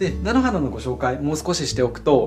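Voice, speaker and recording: There is music in the background as a man speaks. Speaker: ikebana artist. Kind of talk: flower arranging tutorial talk to camera. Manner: friendly, explanatory.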